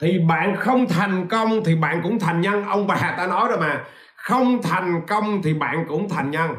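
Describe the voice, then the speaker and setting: Over noticeable background noise and audible room echo, a man speaks at a fairly slow pace with hardly any pauses. His voice is high-pitched, with ordinary pitch variation and very even loudness. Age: 40s. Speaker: business coach. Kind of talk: livestream talk. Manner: animated.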